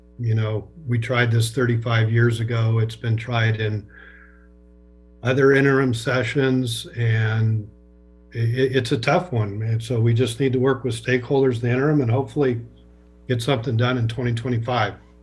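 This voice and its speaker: Music plays in the background as a man of medium pitch talks at a moderate pace. His intonation is monotone and flat. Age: 60s. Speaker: public meeting participant. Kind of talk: public meeting comment.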